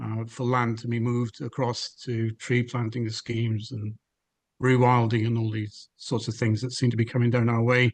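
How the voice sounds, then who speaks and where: Speaking with a Welsh accent, a man talks at a moderate pace in a medium pitch. His voice is somewhat breathy, and his intonation is monotone and flat. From Wales. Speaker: webinar speaker on environmental policy. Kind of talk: webinar talk. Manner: hesitant, many fillers.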